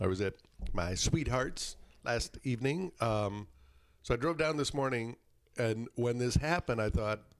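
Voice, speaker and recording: Long, frequent pauses mark this man's speech, delivered at a moderate pace and medium pitch with an Upper Midwest accent. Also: ordinary pitch variation. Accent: Upper Midwest American. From northern Michigan (Traverse City). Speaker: radio show guest. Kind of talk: casual chat.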